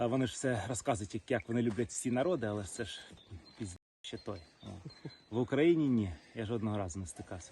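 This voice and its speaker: The man's tone is dark, mellow and somewhat breathy, at a medium pitch. He moves at a fairly quick pace with lively intonation. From Crimea, Sevastopol. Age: 30s. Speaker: soldier. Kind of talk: interview. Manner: halting.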